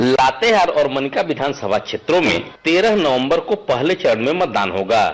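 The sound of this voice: A man at medium pitch with big pitch swings and a moderate pace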